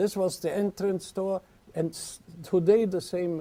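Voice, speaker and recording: A man's high-pitched voice with a dark, mellow tone and an Austrian accent. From Vienna, Austria. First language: German. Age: 80s+. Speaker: singer. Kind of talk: lecture to an audience.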